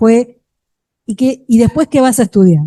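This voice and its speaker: Dry, close sound with no echo from a woman speaking. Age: 60s. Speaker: education researcher, panelist. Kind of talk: panel discussion. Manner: hesitant, many fillers.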